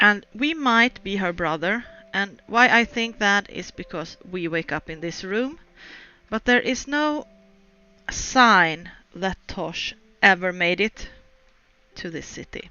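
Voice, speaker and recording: Using lively intonation, a woman with a non-native accent and a medium pitch talks at a very slow pace with long, frequent pauses. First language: not English. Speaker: video game streamer. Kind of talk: let's play commentary with reading aloud. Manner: halting.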